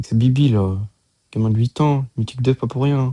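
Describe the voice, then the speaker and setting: A man with a dark, mellow, somewhat breathy tone speaks at a moderate pace with ordinary pitch variation, the sound dry and close with no echo. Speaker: gaming YouTuber. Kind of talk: gameplay commentary.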